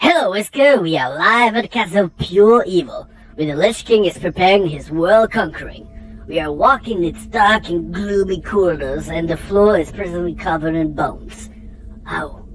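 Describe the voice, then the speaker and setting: A put-on character voice speaks at a moderate pace over music in the background. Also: female-sounding voice, medium pitch for a woman. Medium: comedy sketch. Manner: breathless, excited.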